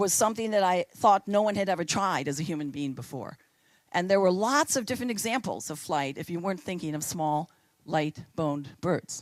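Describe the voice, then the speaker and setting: A woman speaks in a normal speaking voice, fairly low-pitched, at a fairly quick pace with lively intonation. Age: 60s. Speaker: choreographer. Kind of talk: public talk.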